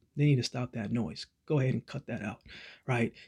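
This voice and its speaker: Against a quiet background, a man with a warm tone and a somewhat breathy voice speaks at a fairly quick pace with fairly even intonation. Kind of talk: pep talk. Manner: earnest, encouraging, warm and reassuring; direct, rhythmic, repeating phrases for emphasis.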